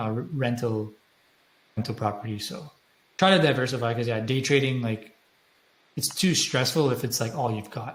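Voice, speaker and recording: A somewhat breathy man talks at a medium pitch and moderate pace, with ordinary pitch variation and long, frequent pauses. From Quebec, Montreal. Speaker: day trader. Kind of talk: casual interview chat.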